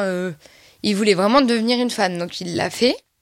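This woman's voice sits at a medium pitch. She talks at a fairly quick pace. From rural France. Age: 20s. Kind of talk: testimony. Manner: halting.

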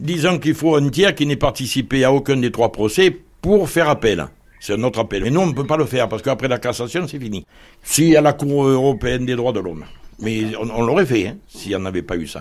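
Speaking at a fairly quick pace with lively intonation, a man uses a normal speaking voice at medium pitch. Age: 60s. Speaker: homeowner in legal dispute. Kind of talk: interview testimony.

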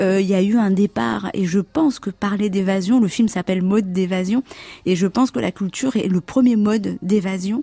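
The sound is dry and close with no echo as a woman speaks at a moderate pace in a medium pitch, somewhat breathy and dark and mellow in tone, with ordinary pitch variation. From Comoros. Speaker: fashion designer. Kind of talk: radio interview.

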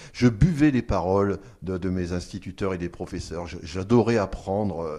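A man's very deep, low voice carries a dark, mellow tone with ordinary pitch variation. The recording is very clean, with a silent background. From France, Picardy (Amiens area). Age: 50s. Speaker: archaeologist. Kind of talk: radio interview. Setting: on-location recording at an archaeological centre. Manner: hesitant, with fillers and repetitions.

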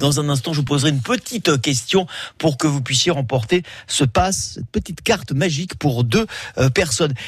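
A man's somewhat breathy, fairly high voice at a moderate pace with lively intonation. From Menton, French Riviera. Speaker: radio host. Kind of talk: live radio presenting. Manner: animated.

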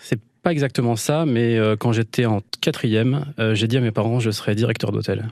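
Keeping very even loudness, a man of medium pitch talks at a moderate pace with fairly even intonation. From Île-de-France (Val d'Oise, Vexin). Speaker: rural holiday estate owner, former radio host. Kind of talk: radio interview. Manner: hesitant, many fillers and repetitions.

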